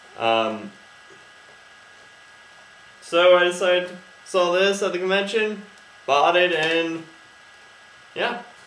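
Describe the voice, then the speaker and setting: A man with a high pitch speaks at a very slow pace. There is audible room echo and light background noise. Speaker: toy reviewer. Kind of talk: casual review vlog. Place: home room. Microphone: webcam.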